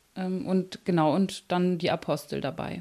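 A woman uses a normal speaking voice at a medium pitch. Her pace is fairly slow. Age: 30s. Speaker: psychologist. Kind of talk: interview.

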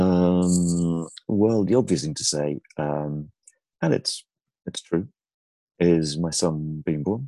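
Very slowly and with long, frequent pauses, a man speaks in a very deep, rumbling voice with a dark, mellow tone and ordinary pitch variation, the sound dry and close with no echo. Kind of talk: casual interview chat. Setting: remote call.

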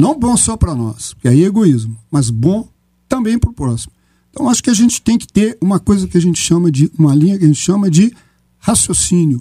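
At a fairly quick pace, a man speaks in a high pitch with a dark, mellow tone and very wide pitch swings. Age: 60s. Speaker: physician and geriatrician. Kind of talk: radio panel debate.

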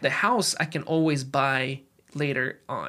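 The recording is very clean, with a silent background. A man with a fairly high pitch and a bright, sharp tone speaks with fairly even intonation. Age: 20s. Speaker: personal finance podcaster. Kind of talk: solo podcast monologue. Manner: casual, with frequent fillers and restarts.

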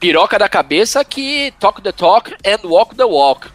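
This man's voice sits high for a man and swings very widely in pitch at a fairly slow pace. The sound is dry and close with no echo, though noticeable background noise comes through. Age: 40s. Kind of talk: casual chat.

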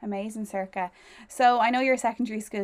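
Speaking in an Irish accent, a woman talks at a very fast pace. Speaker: podcast host and newly qualified primary teacher. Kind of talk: casual interview chat.

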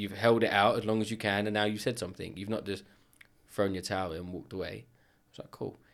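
A man speaks with a London accent at a fairly quick pace. His pitch is fairly low, with ordinary variation. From north London (Edmonton). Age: 30s. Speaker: kitchen company owner. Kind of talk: casual chat.

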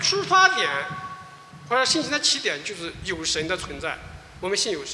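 Very wide pitch swings amid audible room echo and noticeable background noise. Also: man. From mainland China. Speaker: pastor. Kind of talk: testimony.

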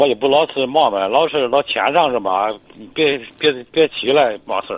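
Speaking at a moderate pace, a man with a fairly high voice shows ordinary pitch variation. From Hebei, China. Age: 50s. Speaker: caller. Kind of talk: call-in advice. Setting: phone call. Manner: halting.

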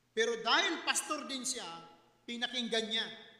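A man uses a raised, projected voice at an extremely high pitch. He speaks at a fairly slow pace with lively intonation. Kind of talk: sermon. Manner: earnest, teacherly preaching, polite, with pauses; formal, emphatic, mixing Tagalog and English.

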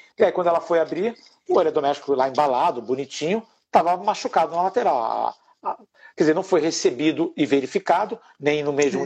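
A man talks at a very fast pace. His fairly high pitch rises and falls with lively intonation. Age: 50s. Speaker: professional condo manager. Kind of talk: live webinar interview.

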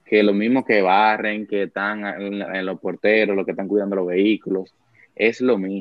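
A man's fairly low voice comes out in monotone, flat intonation. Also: moderate pace. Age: 20s. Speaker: church worship musician. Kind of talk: casual chat.

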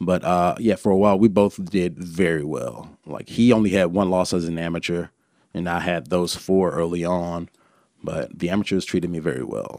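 This man has a very deep, low voice and an Alabama accent, recorded very cleanly against a silent background. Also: ordinary pitch variation, moderate pace. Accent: Alabama Southern US. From Birmingham, Alabama. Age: 30s. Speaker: former pro MMA fighter and trainer. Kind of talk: casual chat.

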